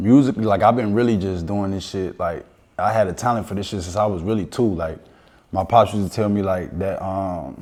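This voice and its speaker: A man speaks at a fairly quick pace in a fairly low voice with ordinary pitch variation. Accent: American. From Chicago South Side, Roseland. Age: 30s. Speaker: rapper. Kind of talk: casual interview.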